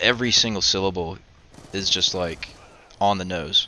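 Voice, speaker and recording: Mumbling at a moderate pace, a man speaks with a very deep, low pitch. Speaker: video commentator. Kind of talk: casual vlog monologue. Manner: mumbling, stuttering; laid back.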